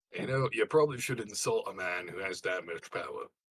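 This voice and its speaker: Using a put-on character voice, a man speaks raspily at a medium pitch and a fairly quick pace. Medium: actual play. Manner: gruff, blunt.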